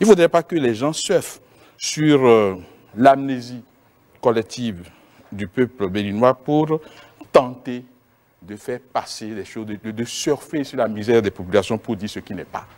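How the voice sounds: Speaking at a moderate pace with few pauses, a man has a medium pitch, a slightly mellow tone and ordinary pitch variation.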